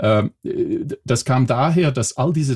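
A man speaks with a Belgian accent at a moderate pace. His voice has vocal fry. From Belgium. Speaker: telephony software company employee. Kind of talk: podcast interview.

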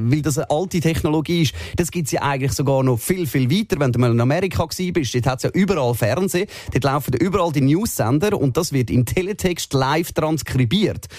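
Noticeable background noise accompanies a man who speaks at a fairly quick pace with a fairly high pitch, lively intonation and very even loudness. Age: 30s. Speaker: radio host. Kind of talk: casual chat. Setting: radio studio.

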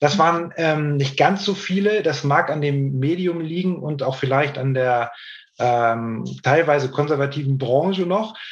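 Somewhat breathy and fairly slow, a man talks at a fairly high pitch with ordinary pitch variation, and room echo can be heard. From northern Germany, Hamburg. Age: 40s. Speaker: hearing aid company sales director. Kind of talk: interview.

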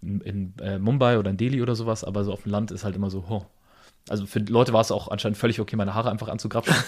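Speech at a very fast pace on a very clean recording with a silent background. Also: man, fairly low pitch for a man. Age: 30s. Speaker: podcast host, business owner. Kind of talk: casual chat. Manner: animated.

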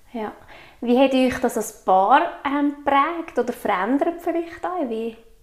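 Against noticeable background noise, a woman with a high pitch speaks at a very slow pace with lively intonation. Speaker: podcast host. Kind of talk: interview.

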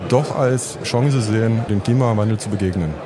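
With audible room echo and noticeable background noise around him, a man speaks at a moderate pace, his pitch medium and varying in an ordinary way. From Saxony, eastern Germany (Bautzen). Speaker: dentist and amateur stock trader. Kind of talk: interview. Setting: trade fair floor.

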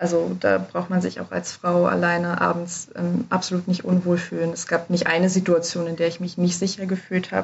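At a moderate pace, a woman speaks with hardly any pauses. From Germany. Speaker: study abroad advisor. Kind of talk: casual interview. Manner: hesitant with many fillers.

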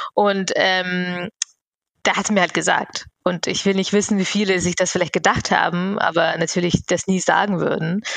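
Her voice fairly low, a woman talks at a moderate pace with monotone, flat intonation. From Bavaria, Germany (immigrated at 11). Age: 30s. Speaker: network founder, diversity advocate. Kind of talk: interview.

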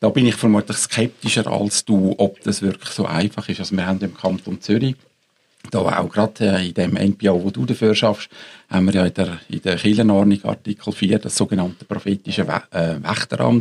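The speaker has an ordinary speaking voice with fairly even intonation and a moderate pace. The sound is dry and close, with no echo. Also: man, fairly low pitch for a man. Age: 60s. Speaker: ethics professor. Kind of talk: panel discussion.

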